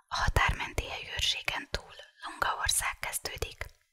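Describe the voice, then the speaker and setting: A whisper in a calm tone at a fairly slow pace. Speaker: ASMR reader. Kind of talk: audiobook reading of a novel for sleep. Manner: whispered; calm, relaxing.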